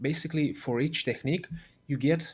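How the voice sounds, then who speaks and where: This speaker talks at a moderate pace in a Romanian accent. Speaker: game developer. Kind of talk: livestream tutorial.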